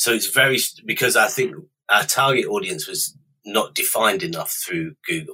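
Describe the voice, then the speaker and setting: A man talks with a British accent. His pace is moderate. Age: 40s. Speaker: online retail founder. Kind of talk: interview. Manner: hesitant, with frequent ums.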